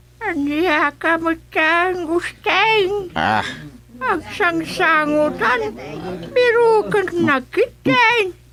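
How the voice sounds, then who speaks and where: Using a put-on character voice, a woman speaks at an extremely high pitch with lively intonation at a very slow pace. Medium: audio drama. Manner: scolding, quarrelsome.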